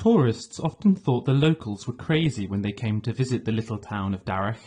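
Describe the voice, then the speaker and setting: Against a quiet background, the speaker uses a dark, mellow, somewhat breathy tone at a moderate pace. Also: man. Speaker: audiobook narrator. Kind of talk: audiobook narration.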